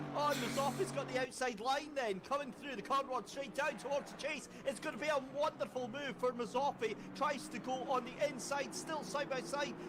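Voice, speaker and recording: Over noticeable background noise, a man with an extremely high pitch speaks at a fairly quick pace with hardly any pauses. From Scotland. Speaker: sim racing commentator. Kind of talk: live commentary. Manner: animated.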